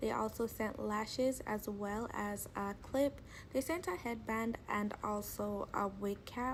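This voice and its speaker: Her fairly high, somewhat breathy voice moves at a very slow pace, and the woman's pitch varies in an ordinary way. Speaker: beauty vlogger. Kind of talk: product review voiceover.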